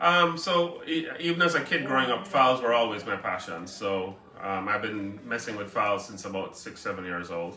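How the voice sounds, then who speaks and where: With a Jamaican accent, a man speaks at a moderate pace and medium pitch, his pitch swinging very widely with hardly any pauses, amid noticeable background noise and audible room echo. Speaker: orchid breeder and nursery owner. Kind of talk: casual interview. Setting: orchid shop. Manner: hesitant, many fillers.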